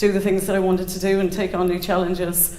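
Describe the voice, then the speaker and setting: A woman with a Cork accent, medium pitch, and a flat, monotone delivery, plus audible echo from the room. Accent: Irish (Cork). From Ireland, County Cork. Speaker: storyteller. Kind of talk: live personal storytelling. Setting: stage with audience.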